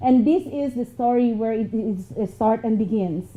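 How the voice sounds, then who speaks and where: A woman with a Filipino accent talks with ordinary pitch variation. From Philippines. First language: Filipino language. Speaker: motivational speaker. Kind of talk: motivational talk.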